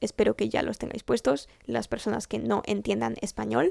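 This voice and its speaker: A woman's fairly quick speech, dry and close with no echo, on a very clean recording with a silent background. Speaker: vlogger and university student. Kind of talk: casual vlog to camera. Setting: home recording setup.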